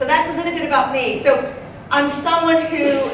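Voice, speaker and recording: A woman with an American accent speaks amid noticeable background noise, her voice carrying audible room echo. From US, Boston. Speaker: executive coach. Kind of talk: conference talk.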